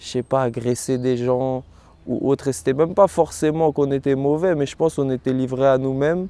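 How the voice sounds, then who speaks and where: This voice has a dark, mellow tone. Its pitch varies in an ordinary way. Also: man. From France, Rennes (Brittany). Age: 20s. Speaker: professional kickboxer. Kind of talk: testimony. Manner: hesitant, frequent fillers.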